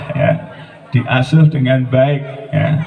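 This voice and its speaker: A man speaks at a very slow pace with fairly even intonation over noticeable background noise. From Central Java (Blora). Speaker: groom's family representative. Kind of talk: formal wedding speech.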